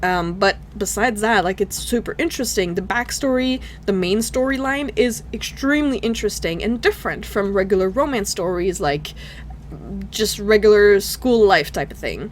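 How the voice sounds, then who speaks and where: With a non-native accent, a woman at medium pitch speaks at a moderate pace with ordinary pitch variation over noticeable background noise. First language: not English. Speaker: gaming YouTuber. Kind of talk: video game review. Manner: casual, halting with fillers.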